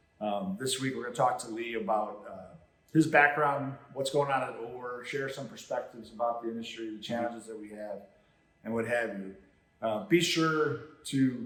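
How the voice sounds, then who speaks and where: A man with an American accent at medium pitch and moderate pace, with noticeable background noise and audible room echo. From Chicago, south side. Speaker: podcast host. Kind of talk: casual interview chat. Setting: standing in a training center.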